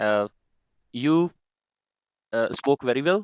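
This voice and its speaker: A man with a Punjabi accent. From Pakistan, Punjab. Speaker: discussion moderator. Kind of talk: online group discussion. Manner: hesitant, many fillers.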